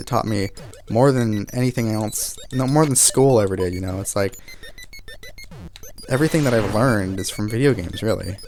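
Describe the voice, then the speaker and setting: At a moderate pace and with ordinary pitch variation, the speaker talks while music plays in the background. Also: man. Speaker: gaming video creator. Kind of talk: emotional tribute monologue while playing. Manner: halting, many fillers and restarts.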